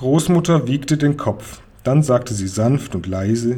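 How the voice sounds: A natural reading voice with lively intonation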